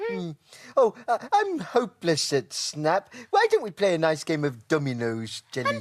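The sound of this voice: This is a cartoonish character voice at a middle pitch. The pace is moderate.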